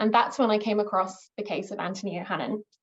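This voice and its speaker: Fairly quick and fairly high in pitch, a woman speaks with an English accent and fairly even intonation. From England. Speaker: archaeologist and historian. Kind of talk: academic presentation. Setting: video call. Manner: hesitant, many fillers.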